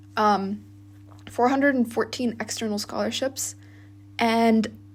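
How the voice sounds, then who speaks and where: Noticeable noise runs in the background. A woman speaks over it at a moderate pace. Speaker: university student, vlogger. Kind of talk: casual monologue vlog. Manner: casual, many fillers.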